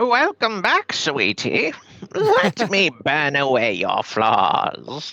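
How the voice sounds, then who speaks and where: This man puts on a character voice pitched high. He talks at a very slow pace. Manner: sweet and menacing.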